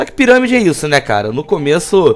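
Amid noticeable background noise, a man's voice makes very wide pitch swings. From Búzios, Rio de Janeiro state, Brazil. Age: 20s. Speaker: podcast host. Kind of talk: casual chat. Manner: hesitant, rambling delivery with fillers and laughs.

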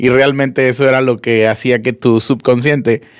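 A man's ordinary speaking voice at a medium pitch and moderate pace, on a very clean recording with a silent background. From Monterrey, Nuevo León, Mexico. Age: 30s. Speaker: podcast co-host. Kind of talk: casual chat.

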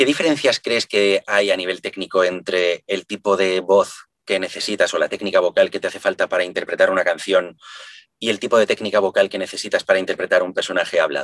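The sound is close and dry, without any echo. The speech moves at a fairly quick pace. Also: man. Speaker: podcast host, singer and voice actor. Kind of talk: interview conversation.

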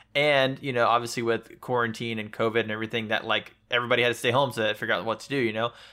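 Very fast and with hardly any pauses, a man speaks with monotone, flat intonation. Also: medium pitch for a man. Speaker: podcast co-host. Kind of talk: casual chat.

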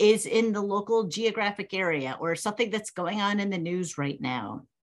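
Against a quiet background, a woman with medium pitch and lively intonation uses an ordinary speaking voice. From New England (Massachusetts, Connecticut). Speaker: professor. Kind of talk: interview.

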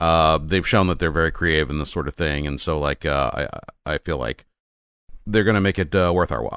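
Vocal fry at a fairly quick pace, with ordinary pitch variation and a dry, close sound with no echo. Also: man, very deep, low pitch for a man. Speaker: podcast host. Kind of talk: casual chat.

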